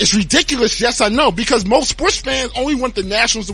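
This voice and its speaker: A man's raised, projected voice at a fairly quick pace, with music in the background. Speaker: sports podcast host. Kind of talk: podcast monologue. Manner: animated; stuttering.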